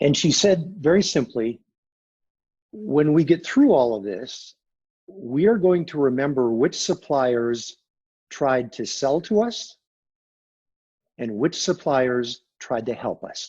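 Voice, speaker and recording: With lively intonation and a fairly high pitch, a man speaks at a very slow pace, pausing long and often. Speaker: business consultant, sales training CEO. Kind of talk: interview.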